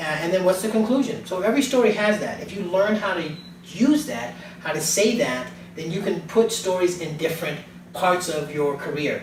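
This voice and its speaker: With lively intonation, a man speaks at a high pitch amid noticeable background noise and audible room echo. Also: moderate pace. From United States. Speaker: professional speaker and coach. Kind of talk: interview.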